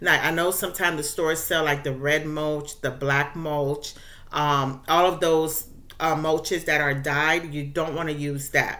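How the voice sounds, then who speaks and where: A woman with a very deep, low pitch, a bright, sharp tone, monotone, flat intonation and a fairly slow pace, amid audible room echo. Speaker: gardening YouTuber. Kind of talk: casual tutorial. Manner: occasionally fumbling words.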